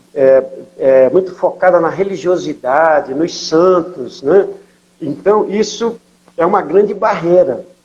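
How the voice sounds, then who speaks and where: Speaking very slowly, a man with a high-pitched voice keeps his loudness very even and his pitch variation ordinary. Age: 60s. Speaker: missionary pastor. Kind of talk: interview testimony.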